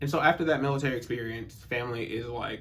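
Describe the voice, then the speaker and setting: A man with an American accent speaks at a medium pitch with fairly even intonation. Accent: occasional Southern. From US South. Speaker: personal development youtuber. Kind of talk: personal monologue. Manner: casual, conversational.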